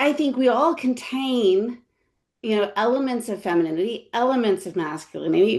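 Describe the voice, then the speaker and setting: A woman with a New York accent and lively intonation. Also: quiet background. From New York City, Brooklyn. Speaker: history professor. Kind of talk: panel discussion. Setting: webinar video call. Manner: halting, many fillers.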